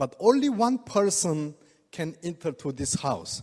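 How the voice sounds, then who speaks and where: A man speaks with a Korean accent. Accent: non-native English, Korean. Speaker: oriental medicine doctor giving product talk. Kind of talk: product presentation to audience. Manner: halting.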